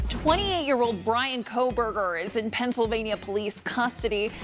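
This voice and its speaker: A woman talks at a moderate pace with a fairly high pitch and ordinary pitch variation while music plays in the background. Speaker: TV news reporter and anchor. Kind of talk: TV news anchor read.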